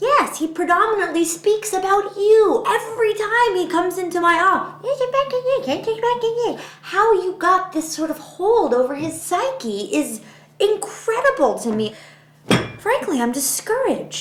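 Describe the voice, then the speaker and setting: In a put-on, squeaky character voice with an extremely high pitch, a woman speaks at a moderate pace, her pitch swinging very widely between long, frequent pauses. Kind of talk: comic deadpan. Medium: comedy sketch. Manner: awkward, blunt, self-contradicting.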